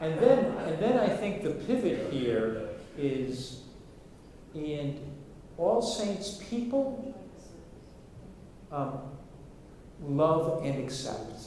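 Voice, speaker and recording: Amid noticeable background noise and audible room echo, a man with a fairly high pitch speaks at a very slow pace, his pitch swinging very widely between long, frequent pauses. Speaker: workshop facilitator. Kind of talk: workshop presentation. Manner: halting, many repetitions.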